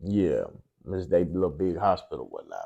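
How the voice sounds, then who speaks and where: A man speaks at a moderate pace with an American accent. His tone is dark and mellow, his pitch fairly low. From Lafayette, Louisiana. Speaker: podcast host. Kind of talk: casual chat.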